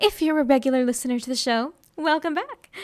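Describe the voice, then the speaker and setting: A woman in a theatrical, playful tone, on a very clean recording with a silent background. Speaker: college radio host playing a vampire student. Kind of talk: dramatic narration. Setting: radio broadcast. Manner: theatrical, playful, animated; dramatic, storyteller delivery with comic asides.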